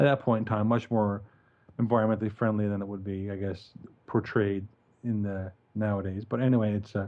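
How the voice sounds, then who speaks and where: A man speaks with a Newfoundland accent at a fairly low pitch. His intonation is flat and monotone. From Newfoundland, Canada. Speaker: podcast co-host and animation film director. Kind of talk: casual podcast chat.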